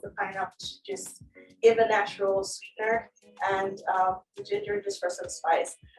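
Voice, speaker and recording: A woman's medium-pitched voice at a moderate pace, with music in the background. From Nigeria. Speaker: hospitality student. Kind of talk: tutorial.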